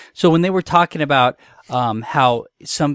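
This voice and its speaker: A man has an unremarkable speaking voice with ordinary pitch variation. He talks at a moderate pace in a dry, close sound with no echo. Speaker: podcast host. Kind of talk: casual banter podcast. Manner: joking, rambling.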